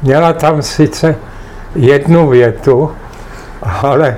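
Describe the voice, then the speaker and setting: A man's fairly high voice at a very slow pace, with fairly even intonation and noticeable background noise. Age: 80s+. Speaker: retired teacher and writer. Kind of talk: family interview. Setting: home apartment.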